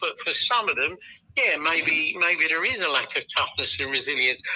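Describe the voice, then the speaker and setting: Noticeable background noise sits under this recording. A man speaks at a moderate pace. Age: 60s. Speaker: football journalist. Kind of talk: podcast discussion.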